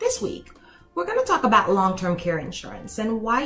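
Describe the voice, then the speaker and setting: A woman's voice with music in the background. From Haiti. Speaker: elder law attorney. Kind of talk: casual talk to camera.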